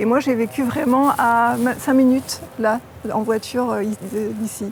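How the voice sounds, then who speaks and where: A woman's fairly high voice at a fairly slow pace, fairly even in intonation, over noticeable background noise. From southern France, Var (La Seyne-sur-Mer). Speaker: author. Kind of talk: interview. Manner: halting.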